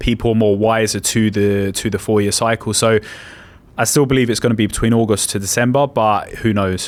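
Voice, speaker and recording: This man's voice sits at a medium pitch, with monotone, flat intonation and very even loudness. He talks at a fairly quick pace. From England. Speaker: crypto investor. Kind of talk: interview. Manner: hesitant, with repetitions.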